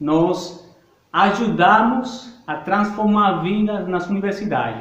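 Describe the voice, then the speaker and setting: A man with a Spanish accent speaks very slowly in a high voice, with ordinary pitch variation. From Bolivia. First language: Spanish (speaking Portuguese). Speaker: missionary. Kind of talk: talk to church congregation.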